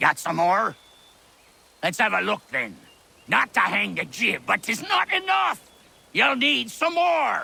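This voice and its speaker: Putting on a character voice, a man talks high-pitched at a fairly slow pace with long, frequent pauses. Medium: video game. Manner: salty pirate slang, sly, mocking.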